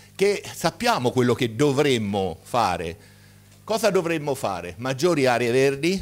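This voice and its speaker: A man's lively intonation rises and falls as he talks at a fairly slow pace. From Marche, Italy (Ascoli Piceno); Marche, Italy. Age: 60s. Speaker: medical doctor, conference speaker; conference speaker. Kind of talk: conference talk. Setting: stage with audience. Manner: animated. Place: hall. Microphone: podium.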